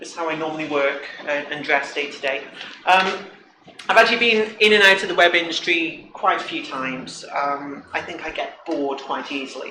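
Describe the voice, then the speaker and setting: Recorded with audible room echo and noticeable background noise, a man speaks at a high pitch with ordinary pitch variation and big swings in loudness. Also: moderate pace. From Britain. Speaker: front-end developer, conference speaker. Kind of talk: conference talk. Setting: stage with audience. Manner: casual, joking.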